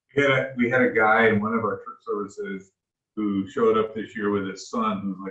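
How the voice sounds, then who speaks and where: Speaking at a fairly quick pace, a man with an American accent has an unremarkable speaking voice, fairly low in pitch, with fairly even intonation. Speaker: pastor. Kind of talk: casual chat.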